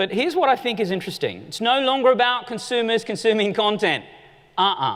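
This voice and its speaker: A man with an Australian accent, an extremely high pitch, lively intonation and a very fast pace. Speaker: conference keynote speaker. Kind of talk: keynote presentation. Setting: stage with audience. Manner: animated.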